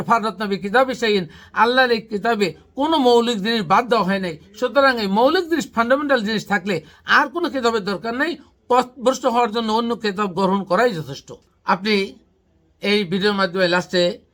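Here a man talks with a high pitch and ordinary pitch variation. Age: 50s. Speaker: Islamic researcher, channel host. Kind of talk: religious teaching discussion.

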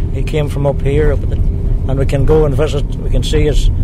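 A man speaks at a fairly slow pace with a Donegal accent. The sound is dry with no echo, and there is noticeable background noise. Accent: Donegal Irish. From Ireland, Ramelton, County Donegal. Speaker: local historian. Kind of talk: interview. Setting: outdoors. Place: open country.

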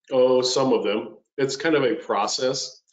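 Quiet background with audible room echo. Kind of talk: casual chat before a presentation. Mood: joking, relaxed. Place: home room. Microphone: video call.

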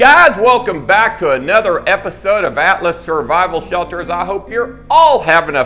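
Faint music plays in the background as a man talks with hardly any pauses. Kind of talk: sales presentation to camera. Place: office.

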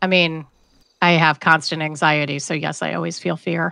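A woman puts on a character voice with a very deep, low pitch and a raspy sound. Her intonation is monotone and flat, and her pace is moderate. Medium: game stream. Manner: blunt, exasperated.

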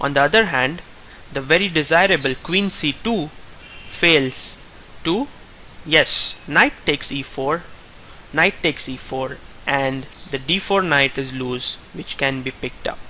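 The speaker goes very slowly with long, frequent pauses and ordinary pitch variation over noticeable background noise. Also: man, fairly high pitch for a man. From India. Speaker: chess player. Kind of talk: tutorial.

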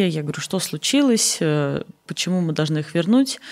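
Quiet background, moderate pace, a woman's voice. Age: 30s. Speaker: charity foundation director; guest. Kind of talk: interview. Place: studio. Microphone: studio mic.

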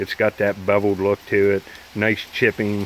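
Light background noise and a dry sound with no echo accompany speech at a moderate pace. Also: man. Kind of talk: casual vlog chat. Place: rain. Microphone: phone near.

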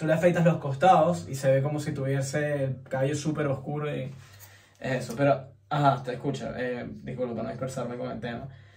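Using a medium pitch and a slightly mellow tone, a man talks at a fairly quick pace with fairly even intonation and vocal fry.

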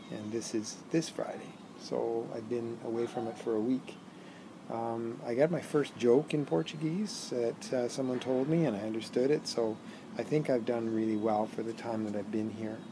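A man's voice with ordinary pitch variation over noticeable background noise. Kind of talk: casual vlog chat. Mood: relaxed, content. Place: garden. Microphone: phone near.

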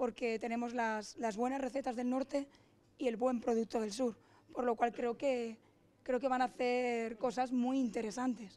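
A woman speaks at a high pitch in a monotone, flat intonation. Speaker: restaurant owner, cook. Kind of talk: event talk. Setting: restaurant event.

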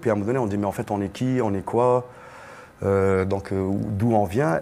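A man talks at a moderate pace with ordinary pitch variation. His pitch is fairly low. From Algeria, Algiers; Algeria. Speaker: singer; guest. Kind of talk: panel discussion. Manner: casual. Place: hall. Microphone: lapel.

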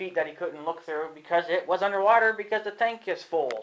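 The speaker is a man with ordinary pitch movement. He keeps a medium speed. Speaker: homeowner vlogger. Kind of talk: casual vlog chat. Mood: annoyed, complaining. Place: garage. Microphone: phone near.

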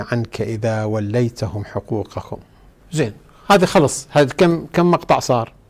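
A man with a Najaf accent speaks at a fairly slow pace in a medium pitch, his somewhat breathy voice swinging very widely in pitch. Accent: Iraqi Arabic, Najaf. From Iraq, Najaf; Iraq. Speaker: cleric. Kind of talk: religious lesson. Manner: animated. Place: studio.

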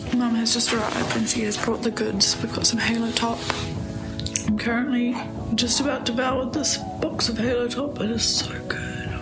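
A woman talks at a moderate pace over clear music in the background. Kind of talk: casual vlog chat. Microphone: phone near.

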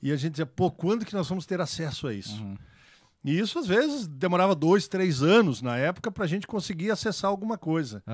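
High in pitch, a man speaks with lively intonation at a fairly quick pace. The background is quiet and the sound dry with no echo. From Brazil, Santa Catarina highlands (Ponte Alta do Norte); Santa Catarina, Brazil. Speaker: agronomist; podcast guest. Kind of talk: casual chat. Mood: relaxed, reminiscing. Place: studio. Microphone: studio mic.

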